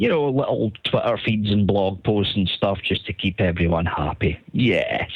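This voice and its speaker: This man's pace is moderate. He talks with a Scottish accent. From Scotland. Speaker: caller. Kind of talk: recorded voice message.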